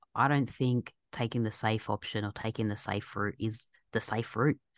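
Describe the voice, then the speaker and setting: The speaker is a woman with an Australian accent. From Australia, Egyptian family. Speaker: doctor, scientist and podcaster. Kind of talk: casual interview chat. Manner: halting.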